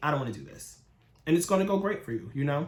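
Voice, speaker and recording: Talking at a very fast pace, a man with a fairly high pitch sounds somewhat breathy, with ordinary pitch variation and audible room echo. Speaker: tarot reader. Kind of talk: tarot reading. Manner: casual.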